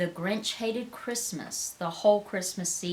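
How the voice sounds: A natural reading voice shows pitch moving up and down by ordinary amounts.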